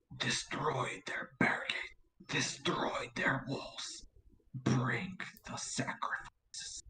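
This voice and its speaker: Very slow, raspy speech in a put-on character voice. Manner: creepy, commanding.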